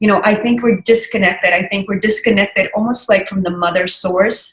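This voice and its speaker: A woman's somewhat breathy, medium-pitched voice with fairly even intonation and a slight Russian accent. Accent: slight Russian accent with American English. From Russia, Saint Petersburg. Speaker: digital wellness practitioner. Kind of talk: casual interview chat.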